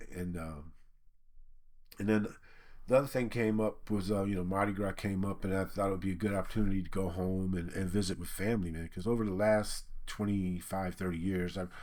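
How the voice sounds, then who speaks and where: A man with a very deep, low voice speaks at a fairly quick pace, his tone relaxed and his intonation fairly even. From Michigan. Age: 60s. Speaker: laid-off worker, YouTuber. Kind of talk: casual personal monologue. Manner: relaxed, conversational.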